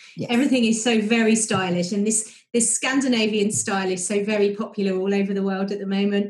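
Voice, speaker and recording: This woman talks at a very fast pace with hardly any pauses, in a British accent. Her intonation is monotone and flat, at a medium pitch. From Britain. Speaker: travel podcast host. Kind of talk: casual interview.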